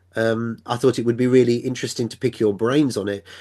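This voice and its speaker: Speaking at a fairly quick pace with an English accent, a man holds a monotone, flat intonation in a dark, mellow tone at medium pitch. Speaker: podcast host. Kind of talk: casual chat.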